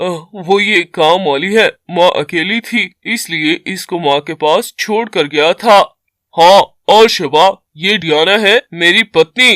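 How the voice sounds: A man's high-pitched, cartoonish character voice on a very clean recording with a silent background. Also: fairly slow pace, ordinary pitch variation, dry, close sound with no echo.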